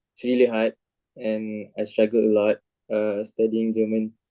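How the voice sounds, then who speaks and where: This man speaks with a Malaysian accent. His tone is dark and mellow. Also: dry, close sound with no echo. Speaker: university student. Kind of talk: interview.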